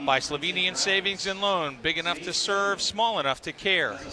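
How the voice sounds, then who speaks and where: A man's raised, projected voice, high in pitch, with lively intonation at a fairly quick pace against noticeable background noise. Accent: American. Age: 60s. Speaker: sports broadcaster. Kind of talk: live broadcast chat and sponsor reads. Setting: broadcast at wrestling tournament.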